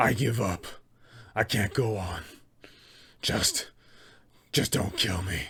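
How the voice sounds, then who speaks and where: A man in a raspy, put-on character voice speaks fairly slowly at a fairly low pitch, with ordinary pitch variation. Long pauses come often. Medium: role play. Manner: menacing.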